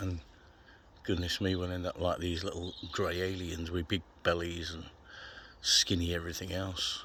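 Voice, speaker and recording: At a moderate pace, a man talks with a very deep, low pitch, a bright, sharp tone and monotone, flat intonation. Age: 60s. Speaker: carnivore diet vlogger. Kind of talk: casual vlog monologue. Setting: outdoors.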